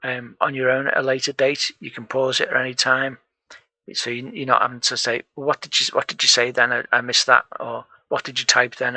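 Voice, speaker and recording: Quiet and fairly quick, a man with a northern English accent speaks at a medium pitch in a bright, sharp tone and monotone, flat intonation, recorded dry and close with no echo. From northern England. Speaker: programming tutor and live streamer. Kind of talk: live coding stream chat. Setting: home room, live stream. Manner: quietly spoken.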